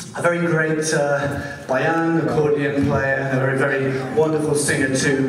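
Over loud background noise and audible room echo, a man speaks at a fairly slow pace. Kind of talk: stage introduction. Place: stage.

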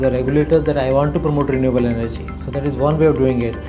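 Clear music plays behind a man talking. He speaks at a very fast pace in a fairly high pitch. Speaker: company founder and CEO. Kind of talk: interview answer. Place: office. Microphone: lapel.

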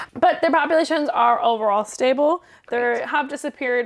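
A woman speaks with lively intonation against a quiet background. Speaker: podcast co-host. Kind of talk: casual chat. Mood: relaxed, casual. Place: home room.

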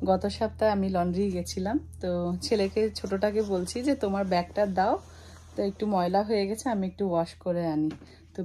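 Pitch moves in an ordinary way. The voice has a dark, mellow tone. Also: woman. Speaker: home vlogger. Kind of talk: casual vlog chat. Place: home room. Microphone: phone near.

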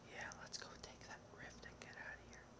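Loud background noise accompanies speech delivered at a moderate pace. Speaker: gamer. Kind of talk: gaming commentary.

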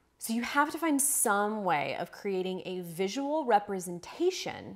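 A woman's pitch swings very widely. The background is quiet. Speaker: writing coach. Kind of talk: tutorial. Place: home room.

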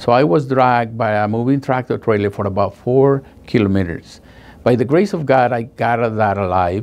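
The speaker talks at a moderate pace with a Spanish accent. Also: man, ordinary pitch variation. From Guatemala. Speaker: paralegal. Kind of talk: testimonial. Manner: halting, emotional. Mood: earnest, recalling painful experience. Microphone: lapel.

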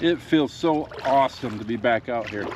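A man with an American accent, dry sound with no echo, and light background noise. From Michigan. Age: 50s. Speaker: fishing YouTuber. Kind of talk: casual outdoor vlog narration. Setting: outdoors in a kayak. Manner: animated. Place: waterside. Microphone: phone near.

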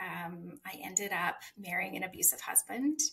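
A woman's bright, sharp voice in a Western Canadian accent, with lively intonation and a fairly slow pace. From Saskatchewan, Canada. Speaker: author; podcast guest. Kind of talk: personal testimony interview. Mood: earnest, emotional personal story. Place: home room.

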